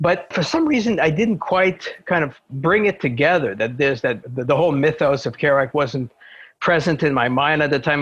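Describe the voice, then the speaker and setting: Speaking in a Quebec accent, a man with a fairly high pitch talks at a moderate pace with ordinary pitch variation and very even loudness over a quiet background. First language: French. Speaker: translator and scholar. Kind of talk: podcast interview. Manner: hesitant, many fillers.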